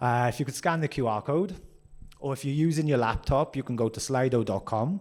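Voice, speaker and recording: The voice belongs to a man with a Welsh accent. He speaks at a medium pitch and a fairly quick pace. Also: ordinary pitch variation. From Wales. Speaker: workshop presenter. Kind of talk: interactive workshop. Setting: conference room with audience. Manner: fast.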